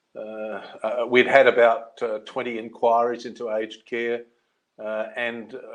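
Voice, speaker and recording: A man speaks at a fairly slow pace with an Australian accent and a medium pitch. His intonation is flat and monotone, while his loudness swings widely. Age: 60s. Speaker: seniors' advocate and former journalist. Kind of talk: webinar interview.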